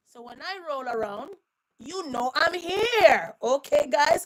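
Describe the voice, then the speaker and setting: Shouting in an animated tone, a woman's pitch swings very widely. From Haiti. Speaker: livestream commentator. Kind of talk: casual live-stream chat. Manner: loud, shouting.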